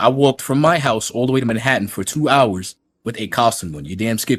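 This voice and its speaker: Talking at a very fast pace, a man uses a medium-pitched voice with vocal fry, lively intonation and big swings in loudness. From New York. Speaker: streamer reacting to another content creator. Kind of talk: heated rant on a livestream. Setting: livestream while recording. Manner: animated.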